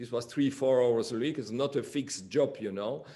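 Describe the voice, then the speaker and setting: Here a man speaks at a medium pitch. He has a French accent. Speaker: flutist. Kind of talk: interview. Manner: halting.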